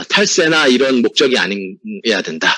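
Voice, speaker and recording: Pitch swings very widely throughout. Vocal fry runs through the voice. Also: man. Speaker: tax accountant. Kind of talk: webinar presentation. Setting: online webinar. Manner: fast.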